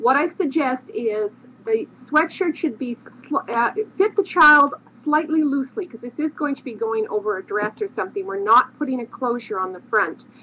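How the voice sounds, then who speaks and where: A high-pitched woman speaks with very wide pitch swings and big swings in loudness over noticeable background noise. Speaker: craft book author and designer. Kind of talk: tutorial. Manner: fast.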